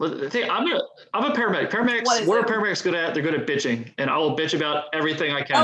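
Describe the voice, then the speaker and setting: In a Baltimore accent, a man talks at a very fast pace with hardly any pauses. His high voice swings very widely in pitch over noticeable background noise. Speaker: firefighter paramedic; podcast guest.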